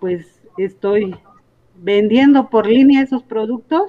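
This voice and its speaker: A woman speaks very slowly with a fairly high pitch. Her pitch varies an ordinary amount. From Sierra Norte, Oaxaca, Mexico. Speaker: traditional healer. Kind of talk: interview.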